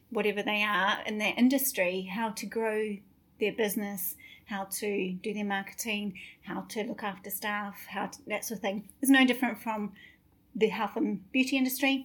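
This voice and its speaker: A woman speaks at a medium pitch, somewhat breathy. Her intonation stays fairly even. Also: moderate pace. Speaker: podcast host, salon business coach. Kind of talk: casual chat. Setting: hotel room. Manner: chatty, jokey.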